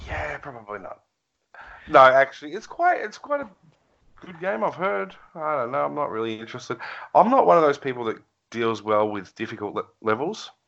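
With an Australian accent, a man talks at a fairly quick pace and a medium pitch, his voice making very wide pitch swings. His loudness swings widely, and long, frequent pauses break up his speech. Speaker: gaming podcast co-host. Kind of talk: casual chat.

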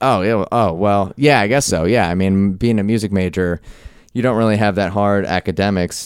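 An ordinary speaking voice: a man at a fairly low pitch, fairly quick pace, and fairly even intonation. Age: 30s. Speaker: stand-up comedian. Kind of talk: casual chat. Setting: studio.

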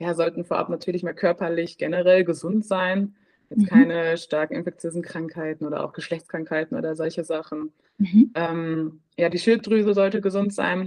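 A woman speaks at a moderate pace in a dark, mellow tone. Her pitch is fairly low, with ordinary variation. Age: 20s. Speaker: midwife. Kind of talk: interview. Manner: halting.

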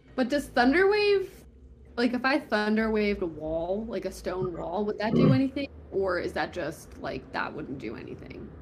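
Noticeable background noise sits behind a woman who talks at a moderate pace. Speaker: player in the game. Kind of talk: casual tabletop roleplaying game chat. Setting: online video call.

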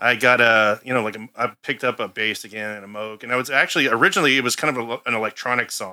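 Heard in a very clean recording with a silent background, a man with an unremarkable speaking voice, medium pitch and an American accent talks at a fairly quick pace with fairly even intonation. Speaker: bassist in a band. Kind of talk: casual interview chat.

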